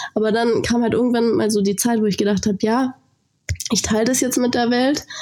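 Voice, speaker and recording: A woman with a normal speaking voice, fairly high in pitch, talks at a fairly quick pace. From Lake Constance region, southern Germany. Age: 20s. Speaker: fitness influencer. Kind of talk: interview. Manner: casual, filler-heavy.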